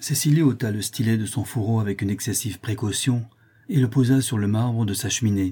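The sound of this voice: Here is an unforced reading voice with ordinary pitch variation.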